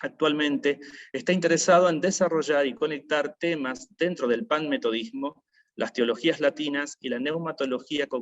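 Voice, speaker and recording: Speaking at a moderate pace, a man uses an unremarkable speaking voice that sits fairly high in pitch. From Argentina, Rosario (Santa Fe). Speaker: event moderator, chaplain. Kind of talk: formal introduction of a speaker.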